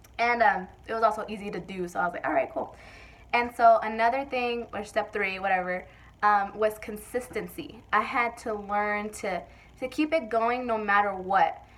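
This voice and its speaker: A woman with a fairly high voice talks with ordinary pitch variation. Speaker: vlogger. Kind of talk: casual vlog talk. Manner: fast.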